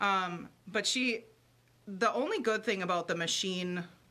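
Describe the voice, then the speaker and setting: A loud woman's voice, fairly low in pitch, with a bright, sharp tone. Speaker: livestream host. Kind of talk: casual chat. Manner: chatty, rambling.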